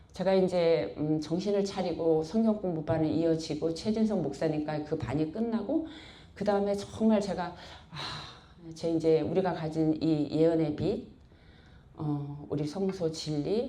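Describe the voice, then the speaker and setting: A woman's fairly low-pitched voice with audible room echo. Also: ordinary pitch variation. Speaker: church member giving testimony. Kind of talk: testimony. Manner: blunt, rough-toned.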